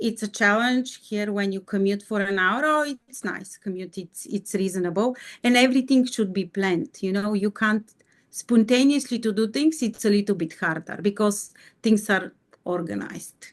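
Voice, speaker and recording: Her pitch sits at a medium level as this woman talks with a Bulgarian accent. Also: ordinary pitch variation, moderate pace. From Bulgaria, Sofia. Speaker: mining executive. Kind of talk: interview. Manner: halting.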